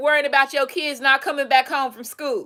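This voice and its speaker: A woman's raised, projected voice, bright and sharp, with an animated tone. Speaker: tarot reader and self-styled presidential candidate. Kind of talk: casual monologue, rant. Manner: stumbles and mumbles.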